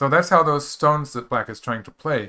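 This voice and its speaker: A man's bright, sharp tone at a fairly quick pace, on a very clean recording with a silent background. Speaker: go professional commentator. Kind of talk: live game commentary. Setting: live stream. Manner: slurs words a bit; casual, hesitant with fillers.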